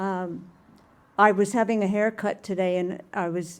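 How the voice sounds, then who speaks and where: Over noticeable background noise, a woman of medium pitch speaks at a very slow pace with fairly even intonation. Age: 70s. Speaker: community member sharing story. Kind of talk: personal storytelling at open mic. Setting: live event at a bar with audience.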